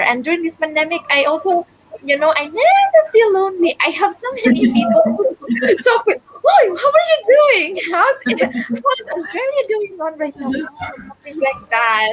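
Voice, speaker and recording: With a Filipino accent, a woman speaks at a fairly slow pace in an extremely high pitch, with very wide pitch swings. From Philippines, Visayas. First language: Bisaya (Cebuano). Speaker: digital business owner. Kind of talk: casual interview chat.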